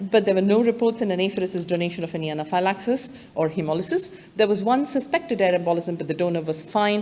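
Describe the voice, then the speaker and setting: A woman speaks at a very fast pace and medium pitch, with ordinary pitch variation. Audible room echo and noticeable background noise are present. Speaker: medical director. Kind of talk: conference presentation. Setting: stage with audience.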